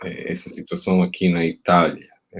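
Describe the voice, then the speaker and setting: The speaker talks at a fairly slow pace. The voice carries an Italian accent. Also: man. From Italy. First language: Italian (speaking Portuguese). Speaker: university professor. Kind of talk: panel talk. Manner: halting, many fillers and repeats.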